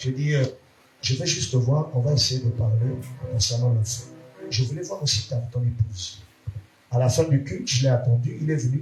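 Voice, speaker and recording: A man speaks at a moderate pace, leaving long, frequent pauses. Music plays in the background, and the room echo is audible. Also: medium pitch for a man, ordinary pitch variation. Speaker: pastor. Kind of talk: sermon. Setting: church.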